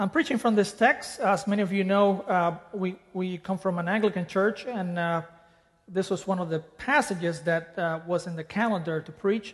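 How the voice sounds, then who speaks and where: Speech at a moderate pace in a Spanish accent. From Dominican Republic. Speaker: preacher. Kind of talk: sermon. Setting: church.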